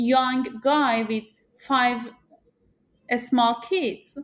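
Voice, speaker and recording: A woman's high-pitched voice with monotone, flat intonation on a very clean recording with a silent background. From Afghanistan. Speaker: program manager. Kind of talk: interview discussion.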